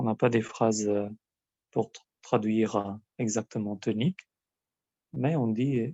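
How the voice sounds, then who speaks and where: Speaking with an Albanian accent, a man goes at a very slow pace with long, frequent pauses. His loudness swings widely while his pitch varies in an ordinary way. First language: Albanian (speaking French). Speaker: language teacher. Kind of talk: lesson. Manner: hesitant, many filler sounds.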